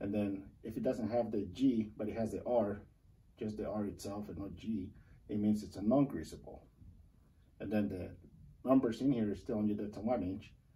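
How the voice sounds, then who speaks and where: Heard with audible room echo, a somewhat breathy voice with a dark, mellow tone moves at a moderate pace, keeping fairly even intonation and leaving long, frequent pauses. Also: man, fairly low pitch for a man. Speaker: parts counter worker. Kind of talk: tutorial. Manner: hesitant, with fillers.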